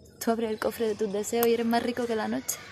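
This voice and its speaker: At a fairly quick pace, a woman speaks in a fairly high voice, the sound dry with no echo and light background noise. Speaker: poetry reciter. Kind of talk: poetry reading. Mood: dramatic, expressive. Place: street. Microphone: phone near.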